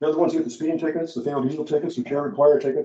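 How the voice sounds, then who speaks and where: With a dark, mellow tone and lively intonation, a man speaks at a fairly high pitch and a very fast pace. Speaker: municipal judge giving a presentation. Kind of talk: lecture.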